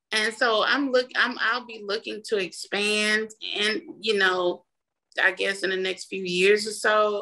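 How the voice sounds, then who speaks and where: A woman speaks with an American accent and an ordinary speaking voice. Her pitch is fairly high, and her intonation is fairly even. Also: fairly slow pace. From Mississippi, US South. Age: 40s. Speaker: small business owner, contractor. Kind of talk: interview.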